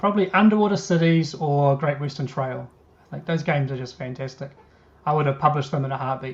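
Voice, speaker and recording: At a very fast pace, a man talks in a fairly high, somewhat breathy voice. His pitch varies in an ordinary way. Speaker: board game designer. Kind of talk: interview.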